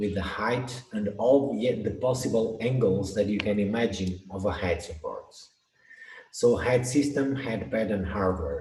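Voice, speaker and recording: A man at a medium pitch with ordinary pitch variation and a fairly slow pace, with audible room echo. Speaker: product specialist presenter. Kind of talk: webinar presentation.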